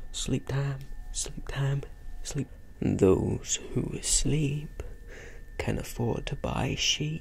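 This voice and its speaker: Very slowly, a soft-spoken man talks. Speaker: content creator. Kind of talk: playful role-play chat to camera. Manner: soft-spoken ASMR murmur. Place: home room.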